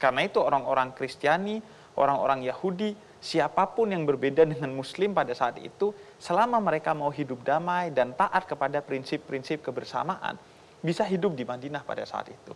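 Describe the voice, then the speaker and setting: The man's pitch is fairly high, and his intonation is lively. He speaks at a fairly quick pace over light background noise. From Indonesia. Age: young. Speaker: Islamic preacher. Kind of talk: talk show conversation. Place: studio. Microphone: lapel.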